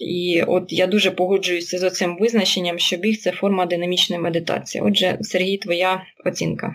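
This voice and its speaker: The speaker is a woman of medium pitch. She talks at a moderate pace in a monotone, flat intonation. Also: very even loudness. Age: 30s. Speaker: running podcast host. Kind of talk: casual chat. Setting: remote call.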